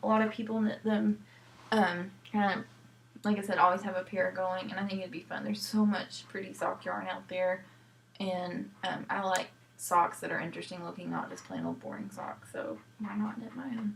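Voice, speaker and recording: There is noticeable background noise behind this woman's voice. She talks at a medium pitch and moderate pace with ordinary pitch variation. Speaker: knitting podcast host.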